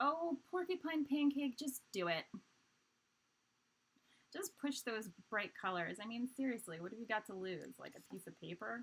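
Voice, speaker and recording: Fairly high in pitch, a woman with a Canadian accent uses a playful tone and very wide pitch swings. Her pauses are long and frequent. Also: big swings in loudness. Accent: Canadian-sounding. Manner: playful, encouraging.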